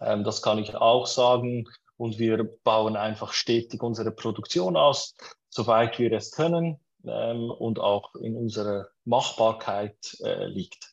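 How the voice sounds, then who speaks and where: A man speaks with a Swiss German accent at a medium pitch. His pace is very slow and his intonation fairly even. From Switzerland. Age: 30s. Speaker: startup co-founder. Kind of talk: interview.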